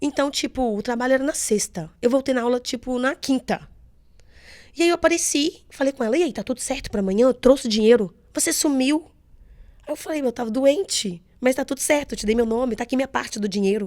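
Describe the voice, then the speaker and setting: In a very clean recording with a silent background, a woman with a high pitch talks fairly quickly in an animated tone. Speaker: makeup artist. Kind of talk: interview storytelling.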